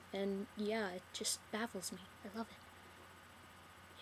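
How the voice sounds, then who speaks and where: In a whisper, a woman talks very slowly with an American accent. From US South. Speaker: vlogger. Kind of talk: casual Q&A vlog. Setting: laptop webcam recording. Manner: casual, hesitant with fillers.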